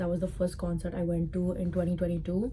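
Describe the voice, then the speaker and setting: With a strong Indian accent, a woman speaks at a fairly quick pace in a fairly low voice, and the room echo is audible. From Dubai, Indian community. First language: Sindhi. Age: 20s. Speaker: content creator. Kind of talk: casual vlog talk to camera.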